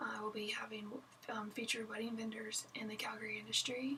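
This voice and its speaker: Over noticeable background noise, a woman with an American accent speaks in a fairly high voice. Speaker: wedding photographer. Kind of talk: casual vlog chat. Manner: casual, chatty with fillers.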